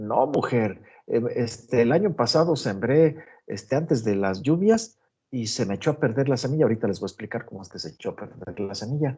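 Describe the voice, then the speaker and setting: A man's somewhat breathy, dark, mellow tone at a moderate pace. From Mexico, Guanajuato. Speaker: agronomy professor. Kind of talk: online lecture.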